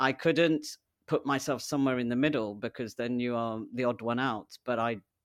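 In a very clean recording with a silent background, a man talks at a fairly quick pace, his medium pitch following fairly even intonation. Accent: British. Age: 40s. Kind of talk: interview conversation. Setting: in-person studio recording, sharing a microphone.

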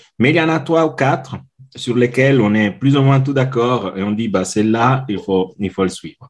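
A man with an Italian accent, medium pitch, ordinary pitch variation and a moderate pace. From Italy. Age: 40s. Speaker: customer experience consultant. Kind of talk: interview. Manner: halting.

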